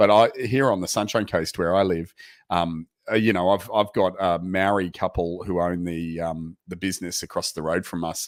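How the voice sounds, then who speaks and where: Very deep, low male voice with fairly even intonation and a moderate pace, very clean recording and silent background. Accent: Australian. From Australia, Queensland. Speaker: proptech program managing partner. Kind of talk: interview. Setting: live video stream.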